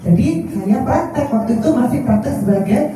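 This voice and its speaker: A woman at a moderate pace and medium pitch, in a strong Surabaya accent, with audible room echo and noticeable background noise. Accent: strong Javanese (medok) Surabaya. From Surabaya, East Java. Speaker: doctor and clinic founder. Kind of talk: press conference speech. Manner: chatty, informal.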